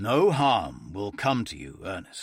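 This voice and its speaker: A man does a raspy, put-on character voice at a fairly slow pace. The recording is very clean, with a silent background. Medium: read story. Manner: teasing, self-assured.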